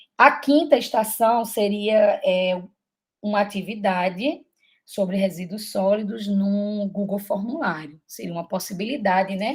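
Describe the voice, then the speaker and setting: Someone with a northeastern Brazilian accent speaks at a fairly slow pace, with ordinary pitch variation. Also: woman, medium pitch for a woman. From Brazil, Paraíba (Campina Grande). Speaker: teacher and mentor. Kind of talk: online mentoring session.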